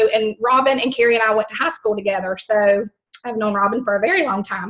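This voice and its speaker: With a strong Southern US accent, a woman talks at a fairly quick pace and keeps her intonation fairly even. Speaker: network marketing team member. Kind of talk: team call testimony. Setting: conference call. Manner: chatty, many fillers.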